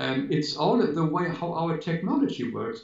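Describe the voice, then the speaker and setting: A somewhat breathy man's voice at a moderate pace. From Germany. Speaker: spiritual teacher, children's book author. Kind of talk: interview answer.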